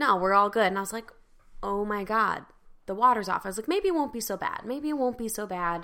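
A woman speaks at a fairly quick pace with a fairly high pitch. Her tone is animated, bright and sharp. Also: ordinary pitch variation. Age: 30s. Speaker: podcast co-host. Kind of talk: casual chat.

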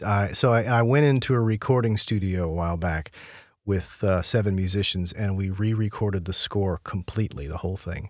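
The recording is very clean, with a silent background, and features a man with a plain, everyday voice. He talks at a fairly quick pace in a fairly low pitch with ordinary variation. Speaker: podcast host and music researcher. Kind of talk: casual interview.

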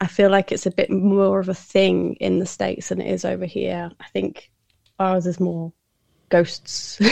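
Her loudness swinging widely, a woman with a British accent speaks at a fairly slow pace. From UK. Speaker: podcaster. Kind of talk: casual interview chat. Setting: remote call.

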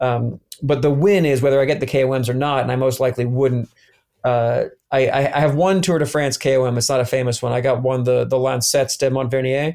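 Speaking with an American accent, a man uses a plain, everyday voice at a medium pitch and a fairly quick pace. His intonation is fairly even, his loudness very even, and the recording very clean with a silent background. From US South, Atlanta. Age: 30s. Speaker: former pro cyclist. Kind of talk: casual chat.

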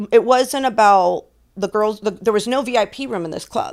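Talking at a fairly quick pace, a woman with a fairly high pitch and lively intonation has an ordinary speaking voice. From Florida (Tampa area), of Cuban and Puerto Rican parents. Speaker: adult industry veteran, former stripper. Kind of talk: casual chat.

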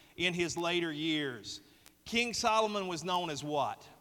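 This man has a high, bright and sharp voice with a Southern US accent, at a fairly slow pace. His pitch varies in an ordinary way, and the recording is very clean with a silent background. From US South. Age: 30s. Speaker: pastor. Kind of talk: sermon. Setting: church.

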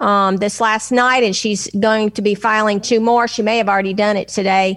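A woman speaks with a Southern US accent. Her intonation is fairly even. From Nashville, Tennessee. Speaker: political commentator guest. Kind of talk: angry rant about politics.

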